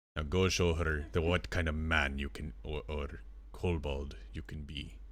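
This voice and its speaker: A man speaks at a moderate pace in a put-on character voice with a very deep, low pitch. Background noise is clearly heard. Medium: actual play. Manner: formal, commanding.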